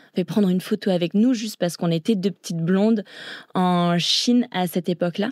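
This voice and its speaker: A woman's medium-pitched voice with a dark, mellow tone and ordinary pitch variation, fairly quick, on a very clean recording with a silent background and a dry, close sound with no echo. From grew up abroad in China and Thailand (international British school). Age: 20s. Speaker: long-distance swimmer. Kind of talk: interview.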